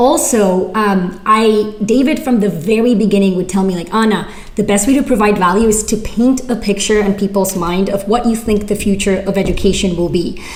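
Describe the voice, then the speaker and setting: Room echo and noticeable background noise surround a woman whose pitch is fairly high. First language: not English (English is third language). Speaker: writer and former teacher. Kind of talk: workshop Q&A. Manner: casual, filler-heavy.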